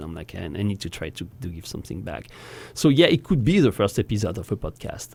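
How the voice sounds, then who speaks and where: The speaker has a French accent. The pace is very fast. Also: man. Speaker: voice actor. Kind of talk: casual chat.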